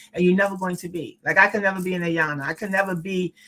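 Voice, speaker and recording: Talking at a very fast pace, a woman speaks in a medium pitch with a New York accent. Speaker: podcast host. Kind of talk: podcast interview.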